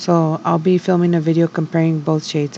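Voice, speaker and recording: A woman talks quietly in a very deep, low voice over noticeable background noise. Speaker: beauty vlogger. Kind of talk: get ready with me voiceover. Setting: home at night. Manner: quiet, low voice; hesitant, many fillers.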